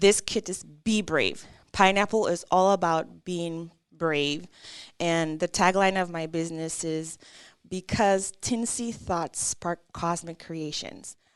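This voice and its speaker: A woman with a French accent, fairly low in pitch, at a very slow pace against a quiet background. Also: fairly even intonation. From Caribbean. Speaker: artist and small business owner. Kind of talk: interview.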